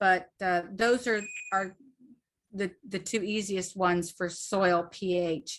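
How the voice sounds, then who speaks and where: Speaking at a very slow pace, a woman uses a medium pitch with an American accent. Long, frequent pauses break up her speech. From Northern Virginia (Fairfax County). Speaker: gardening workshop presenter. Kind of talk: online workshop presentation. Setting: video call. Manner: hesitant, many fillers.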